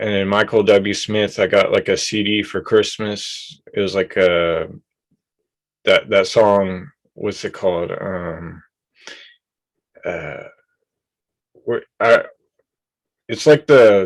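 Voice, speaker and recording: The delivery is very slow, with long, frequent pauses. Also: man. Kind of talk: interview. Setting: video call. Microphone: hears own voice echo.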